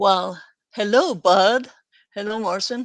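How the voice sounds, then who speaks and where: Against a quiet background, a woman with a non-native accent talks at a medium pitch with ordinary pitch variation. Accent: noticeable foreign. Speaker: developer advocate. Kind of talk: live webinar chat. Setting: live stream webinar.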